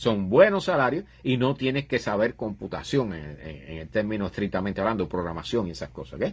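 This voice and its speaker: On a very clean recording with a silent background, a man speaks at a fairly quick pace with hardly any pauses, a fairly low, somewhat breathy voice, very wide pitch swings and big swings in loudness. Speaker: livestream host on astronomy and science. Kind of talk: live stream chat.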